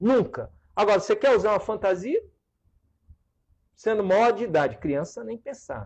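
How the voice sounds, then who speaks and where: The speaker is a man. His pitch is high. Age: 60s. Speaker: political candidate. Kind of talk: talk show interview.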